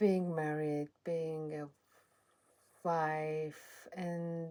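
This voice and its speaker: A woman with an Iranian accent speaks at a very deep, low pitch. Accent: Persian (Iranian). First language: Persian. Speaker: channel owner speaking about her life. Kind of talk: personal testimony. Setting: at home in a cottage. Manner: halting.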